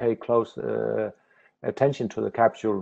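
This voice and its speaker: A man with fairly even intonation against a quiet background. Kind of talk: lecture. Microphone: video call.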